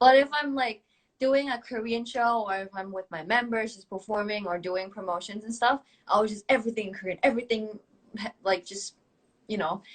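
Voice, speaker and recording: Speaking with a Thai accent, a woman with a fairly high voice moves at a fairly quick pace. Her pitch varies in an ordinary way, with big swings in loudness. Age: 20s. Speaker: K-pop idol singer. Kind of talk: casual chat. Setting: Instagram live video stream.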